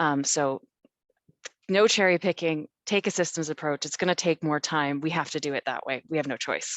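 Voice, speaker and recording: Speaking at a moderate pace with a Canadian accent, a woman uses a very deep, low pitch and ordinary pitch variation. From Canada. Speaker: city council climate coordinator. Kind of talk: panel discussion. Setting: webinar video call.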